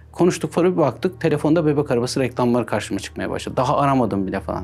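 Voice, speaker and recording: Lively intonation runs at a very fast pace. Music sounds in the background. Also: man, medium pitch for a man. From Erzurum, eastern Turkey. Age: 40s. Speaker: cybersecurity expert. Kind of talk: interview.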